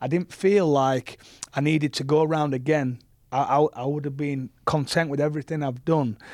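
A man with a Yorkshire accent at a moderate pace, fairly even intonation, on a very clean recording with a silent background. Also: fairly high pitch for a man. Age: 30s. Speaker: professional rugby league player. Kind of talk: casual interview chat.

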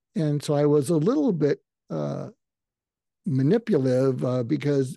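Speaking with a Boston accent, a man uses a fairly high pitch, a dark, mellow tone, ordinary pitch variation and a moderate pace. The sound is dry and close with no echo, and the background is quiet. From Massachusetts, outside Boston. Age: 70s. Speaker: psychiatrist. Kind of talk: interview.

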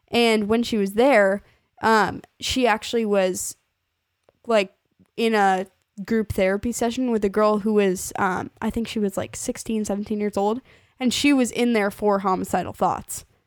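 A woman with a fairly high pitch speaks at a moderate pace with fairly even intonation, an ordinary speaking voice on a very clean recording with a silent background. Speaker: podcast host. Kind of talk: casual chat. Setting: home recording.

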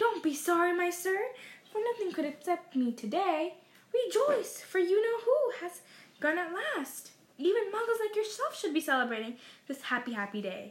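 A woman puts on a squeaky character voice with a cheerful tone and extremely high pitch. Her pitch swings very widely as she speaks at a moderate pace. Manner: cheerful, delighted.

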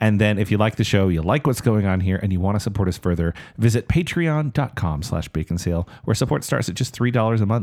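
A man talks at a very fast pace with lively intonation and hardly any pauses. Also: fairly low pitch for a man. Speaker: podcast host. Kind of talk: casual comedic chat.

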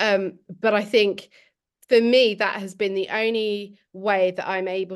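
In a southern English accent, a woman speaks at medium pitch with fairly even intonation against a quiet background. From England, Milton Keynes. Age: 30s. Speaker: PhD researcher. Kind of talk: panel discussion. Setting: video call.

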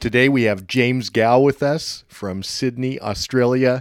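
Recorded very cleanly against a silent background, a man with an American accent speaks in an ordinary speaking voice at a moderate pace with fairly even intonation. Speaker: podcast host. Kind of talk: interview.

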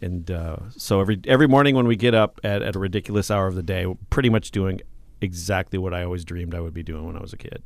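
With an American accent and a very deep, low pitch, a man speaks very fast, showing big swings in loudness and ordinary pitch variation. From southern Minnesota (Mankato). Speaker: radio host. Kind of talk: casual chat. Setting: radio station studio.

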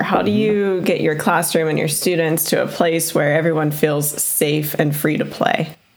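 A woman talks at a moderate pace while noticeable background noise continues behind her. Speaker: podcast co-host.

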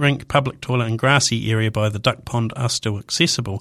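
In a New Zealand accent, a man talks at a very fast pace. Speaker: radio host. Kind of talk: radio talk show monologue. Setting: radio studio.

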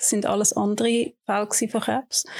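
A woman's fairly high-pitched, normal speaking voice with fairly even intonation and a fairly slow pace, on a very clean recording with a silent background. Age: 50s. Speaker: breast cancer patient. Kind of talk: interview. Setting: studio.

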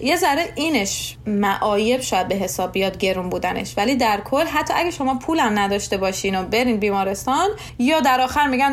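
Noticeable background noise sits behind a woman's voice. She talks very fast, her pitch swinging very widely. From Iran, Shiraz. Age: 20s. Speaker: nurse. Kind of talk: interview.

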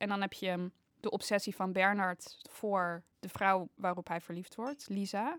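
A normal speaking voice at a fairly slow pace, with fairly even intonation, dry and close with no echo, in a very clean recording over a silent background. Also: woman, medium pitch for a woman. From Netherlands, Haarlem. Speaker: painting student. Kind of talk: casual chat.

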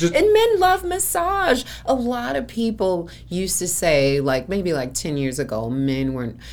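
A woman with an American accent at a fairly slow pace, hardly any pauses and noticeable background noise. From Chicago. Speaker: massage therapist and event organizer. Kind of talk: casual interview.

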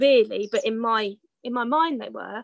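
Lively intonation comes through a dry, close sound with no echo against a quiet background. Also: woman. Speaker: amateur dressage rider. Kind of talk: casual interview. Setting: outdoors in a garden. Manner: loud.

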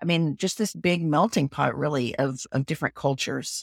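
This very clean recording with a silent background features a voice with a Texan accent. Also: woman. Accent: Southern US, Texan. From Texas. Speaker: business consultant and website designer. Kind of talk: casual interview conversation.

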